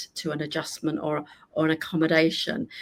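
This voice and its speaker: A woman speaks with a British accent in a warm, enthusiastic tone. She keeps a moderate pace. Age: 60s. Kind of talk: interview conversation.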